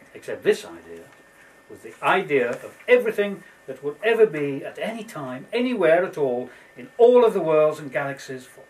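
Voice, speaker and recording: At a moderate pace, a man uses a playful tone and very wide pitch swings while noticeable background noise sits behind him. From Scottish Borders. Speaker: storyteller. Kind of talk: storytelling for children. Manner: playful, whimsical.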